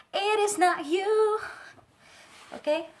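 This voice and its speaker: A woman speaks with a non-native accent. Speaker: tarot and lifestyle vlogger. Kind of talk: casual vlog monologue. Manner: hesitant, many fillers.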